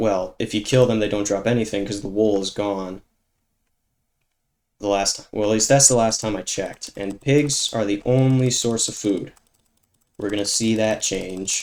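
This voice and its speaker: A man at a fairly low pitch and moderate pace, with fairly even intonation and long, frequent pauses. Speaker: gaming YouTuber. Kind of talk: gameplay commentary. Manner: monotone; halting.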